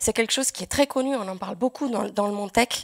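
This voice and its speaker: Vocal fry from a woman with ordinary pitch variation, in a dry, close sound with no echo and a very clean recording over a silent background. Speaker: software developer. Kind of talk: conference talk. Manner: hesitant.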